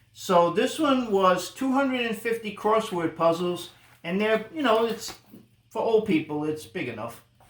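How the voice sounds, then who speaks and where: Lively intonation marks this man's high-pitched voice at a moderate pace. Noticeable background noise runs underneath. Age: 60s. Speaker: vlogger's father. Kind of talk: casual chat.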